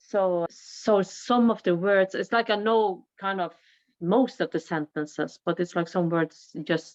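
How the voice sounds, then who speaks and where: At a fairly slow pace, a woman with a Norwegian accent speaks at medium pitch with ordinary pitch variation, the sound dry and close with no echo over a quiet background. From Norway. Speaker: singer. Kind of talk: podcast interview. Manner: halting.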